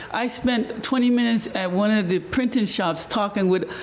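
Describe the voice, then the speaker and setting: Noticeable background noise fills the clip. Over it, a man talks in a high pitch. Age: 60s. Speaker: community organizer. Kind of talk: panel discussion. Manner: animated.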